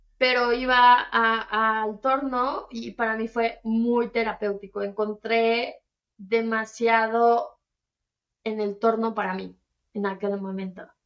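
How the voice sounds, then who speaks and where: Delivery is very slow, with monotone, flat intonation. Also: woman, fairly high pitch for a woman. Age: 30s. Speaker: entrepreneur. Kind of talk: interview.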